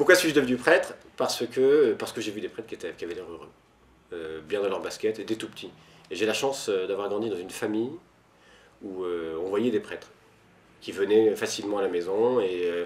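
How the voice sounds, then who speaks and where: Here a man with a fairly low pitch talks at a fairly quick pace, with long, frequent pauses. His loudness swings widely and his intonation is lively. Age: 30s. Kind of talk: interview testimony. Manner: hesitant, many fillers.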